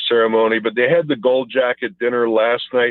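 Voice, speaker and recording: At a fairly quick pace, a man of medium pitch speaks in an ordinary speaking voice. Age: 60s. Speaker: former pro football player. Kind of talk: phone interview. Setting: phone call.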